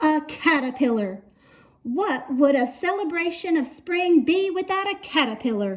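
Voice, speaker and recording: Using a put-on character voice, a woman speaks at a high pitch and moderate pace. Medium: read story. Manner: theatrical, grand.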